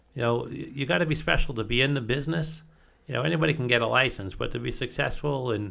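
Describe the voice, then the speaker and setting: A man with a medium pitch talks at a very fast pace with lively intonation and vocal fry. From Long Island, New York. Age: 60s. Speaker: real estate company co-owner. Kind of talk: podcast interview. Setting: studio.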